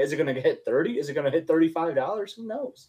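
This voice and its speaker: A man with an American accent speaks very fast with lively intonation. His tone is dark and mellow. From Michigan. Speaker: co-host.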